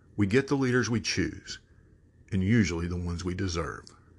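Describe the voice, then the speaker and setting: A somewhat breathy man with an American accent, fairly quick pace and lively intonation, over a quiet background. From Texas. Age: 50s. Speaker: podcast host. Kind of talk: monologue commentary.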